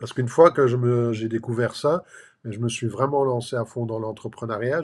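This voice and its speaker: A man with a medium pitch speaks in an ordinary speaking voice at a moderate pace, his intonation fairly even. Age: 60s. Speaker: life and business coach. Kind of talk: motivational talk to camera. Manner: casual, filler-heavy.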